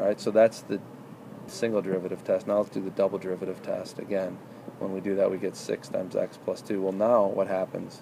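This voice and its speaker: Noticeable background noise accompanies a man who talks at a very fast pace with a fairly low pitch and monotone, flat intonation. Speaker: math tutor. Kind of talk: tutoring session.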